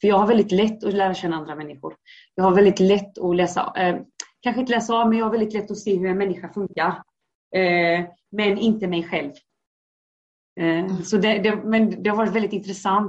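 A woman's unremarkable speaking voice, medium in pitch, at a fairly quick pace with fairly even intonation. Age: 30s. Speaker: guest sharing life story. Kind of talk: personal testimony interview.

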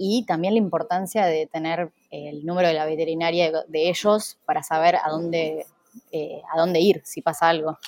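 At a moderate pace, a woman with a normal speaking voice talks at a fairly low pitch with fairly even intonation. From Argentina, Junín (Buenos Aires province). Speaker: travel content creator and house sitter. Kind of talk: interview.

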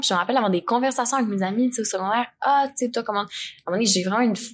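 The speaker talks very fast in a Quebec accent, with ordinary pitch variation. The background is quiet. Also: woman. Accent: Québécois French. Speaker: podcast guest. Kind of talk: casual chat. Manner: laughs often.

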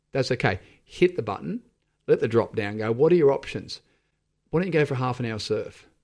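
A man speaks at a fairly quick pace with lively intonation against a quiet background. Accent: Australian. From Sydney, Australia (eastern suburbs). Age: 40s. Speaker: fitness community founder. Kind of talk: casual interview. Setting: radio studio.

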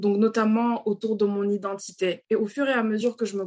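A woman talks in a monotone with flat intonation. Noticeable background noise runs under her voice. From Senegal, Dakar. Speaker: children's author. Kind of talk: interview.

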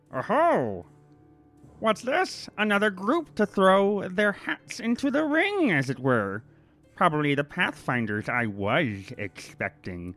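Putting on a character voice, a man speaks at a fairly slow pace with a high pitch while faint music plays in the background. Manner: clearly enunciated, theatrical, mocking.

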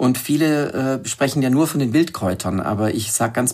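With an unremarkable speaking voice, a man at medium pitch speaks at a moderate pace with lively intonation. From southern Germany, Lake Constance. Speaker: wild plant expert and author. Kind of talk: interview.

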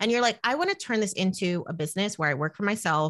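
A woman with a New Jersey accent, medium-pitched, with lively intonation and a very fast pace. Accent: American, New Jersey. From New Jersey, US. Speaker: money coach and podcaster. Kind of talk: casual interview.

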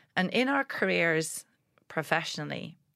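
A woman speaks at a moderate pace with vocal fry. The recording is very clean, the background silent. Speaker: public speaker. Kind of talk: interview.

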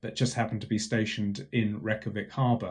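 Speaking at a very fast pace, a man sounds somewhat breathy. The background is quiet. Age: 50s. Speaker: professor. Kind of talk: interview. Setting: home office.

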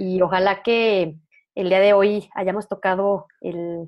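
Very slowly, a woman speaks at a medium pitch in a flat, monotone way. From Mexico, León, Guanajuato. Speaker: entrepreneur. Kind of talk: casual interview conversation.

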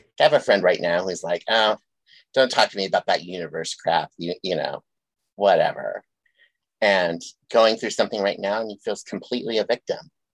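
A man at a fairly quick pace with long, frequent pauses, in a dry, close sound with no echo and a quiet background. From US Midwest, western South Dakota. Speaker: podcast host. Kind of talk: casual chat.

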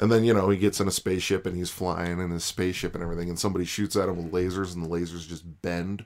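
On a very clean recording with a silent background, a man with an American accent and a very deep, low pitch talks at a very fast pace in a monotone, flat intonation. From Chicagoland, Northwest Indiana. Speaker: podcast guest, sci-fi fan. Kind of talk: casual chat.

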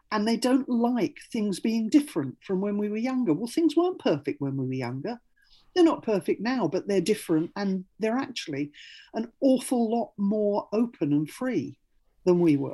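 With a dark, mellow, somewhat breathy tone, this voice moves at a moderate pace through very wide pitch swings against a quiet background. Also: woman, fairly high pitch for a woman. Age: 60s. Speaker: LGBT rights campaigner. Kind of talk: radio interview.

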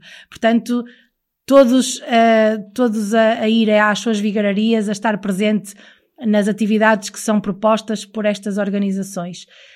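Monotone, flat intonation at a fairly slow pace. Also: woman, fairly high pitch for a woman. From northern Portugal, Porto area (Maia). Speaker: radio host. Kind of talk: casual chat.

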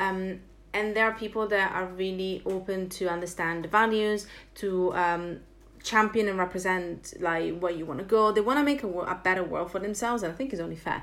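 Over audible room echo, a woman with a medium pitch and ordinary pitch variation speaks at a fairly quick pace. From Italy. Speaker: entrepreneur and author. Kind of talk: casual interview. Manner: animated.

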